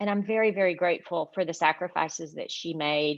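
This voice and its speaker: A woman talks with a Southern US accent at a fairly low pitch. Her pitch variation is ordinary. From US South, Arkansas. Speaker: law professor. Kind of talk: award acceptance speech. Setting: virtual event. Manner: halting, many fillers.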